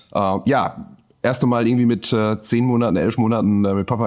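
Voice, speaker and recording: Fairly even in intonation, a man speaks at a fairly quick pace on a very clean recording with a silent background. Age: 30s. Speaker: brewer. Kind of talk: casual chat.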